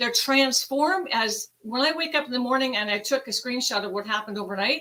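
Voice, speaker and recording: Animated and lively, a woman talks at a fairly quick pace in a high voice. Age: 60s. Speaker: product user sharing results. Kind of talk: testimony.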